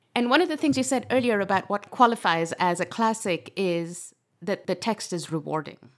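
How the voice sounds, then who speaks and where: This woman has an unremarkable speaking voice at a medium pitch. She talks at a moderate pace with lively intonation. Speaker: podcast host. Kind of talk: interview.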